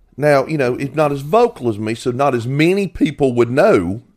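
Using a plain, everyday voice, a man speaks at a moderate pace. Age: 50s. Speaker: podcast host. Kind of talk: casual chat.

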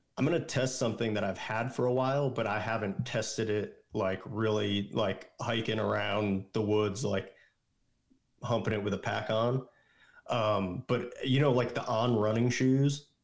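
A man with an ordinary speaking voice talks at a moderate pace and medium pitch, his intonation fairly even. The recording is very clean, with a silent background. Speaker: guest, friend of host. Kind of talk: casual chat.

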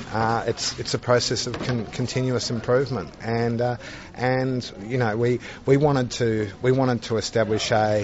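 Against noticeable background noise, a man talks at a medium pitch in a monotone, flat intonation. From Australia. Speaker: juice company CEO. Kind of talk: interview. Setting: trade congress.

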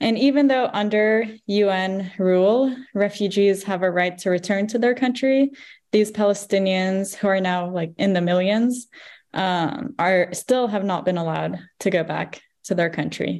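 Using a plain, everyday voice with an American accent, a woman speaks at a moderate pace and medium pitch with ordinary pitch variation. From Virginia, US. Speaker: activist and runner. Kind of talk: casual interview.

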